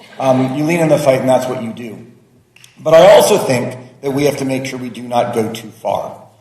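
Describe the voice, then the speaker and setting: This man's voice sits at a medium pitch with ordinary pitch variation. He speaks at a moderate pace, with big swings in loudness. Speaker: lawmaker. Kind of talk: roundtable remarks.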